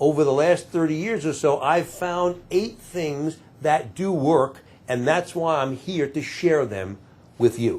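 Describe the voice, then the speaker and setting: On a very clean recording with a silent background, a man with an unremarkable speaking voice talks at a fairly slow pace in a fairly high pitch with ordinary pitch variation. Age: 60s. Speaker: employment lawyer and career advisor. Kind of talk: talking-head advice video.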